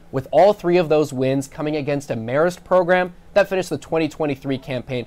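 A man speaks at a fairly quick pace. His fairly high voice has lively intonation. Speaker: sports reporter and anchor; sports reporter, anchor. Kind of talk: live TV sports reporting and studio sports talk. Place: studio. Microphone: lapel.

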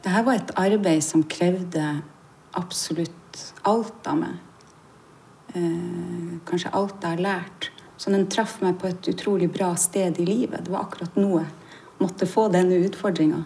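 A woman's somewhat breathy, dark, mellow voice with fairly even intonation, at a fairly slow pace over light background noise. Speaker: stage actor. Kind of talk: interview answer. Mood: reflective, warm. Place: hall.

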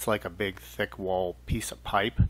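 A man speaks with a fairly low pitch. Vocal fry runs through his voice. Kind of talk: tutorial. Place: workshop. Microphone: camera far.

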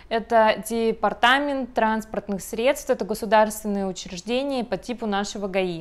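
A woman with a fairly high pitch talks at a moderate pace, using ordinary pitch variation and hardly any pauses. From Russia, Kemerovo; Russia. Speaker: video blogger. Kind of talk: tutorial. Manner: animated. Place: home room.

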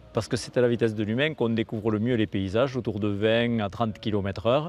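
A man at a moderate pace with ordinary pitch variation, in a dry sound with no echo. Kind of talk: interview answer. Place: street. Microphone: lapel.

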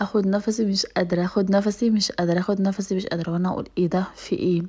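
Speaking at a fairly quick pace, a woman has an Egyptian accent and a medium pitch. Her tone is dark and mellow, her intonation monotone and flat. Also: quiet background. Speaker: lifestyle vlogger. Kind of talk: casual vlog talk. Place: kitchen. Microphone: phone near.

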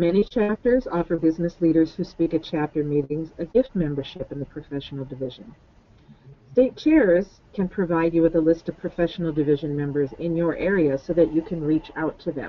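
Fairly quick in pace, a woman with an unremarkable speaking voice talks with ordinary pitch variation. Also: fairly low pitch for a woman. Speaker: student organization advisor and state chair. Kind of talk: webinar presentation.

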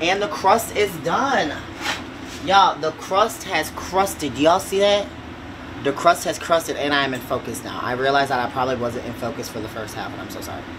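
A man at a fairly quick pace, big swings in loudness and noticeable background noise. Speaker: home cook vlogger. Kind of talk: casual cooking tutorial. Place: kitchen. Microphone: camera far.

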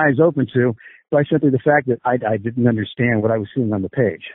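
This man has a plain, everyday voice. He talks at a fairly quick pace with ordinary pitch variation. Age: 50s. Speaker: combat sports coach. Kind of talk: interview.

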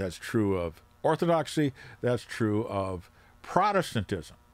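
A man talks at a fairly slow pace, his pitch swinging widely.

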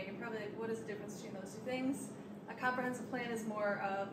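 A woman is heard over loud background noise. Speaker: village staff host. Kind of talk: public meeting introduction. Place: meeting room. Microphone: handheld.

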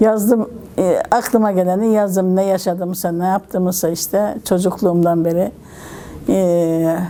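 Against noticeable background noise, a woman speaks at a fairly slow pace and medium pitch. Her intonation is fairly even and her loudness very even. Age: 70s. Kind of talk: interview answer.

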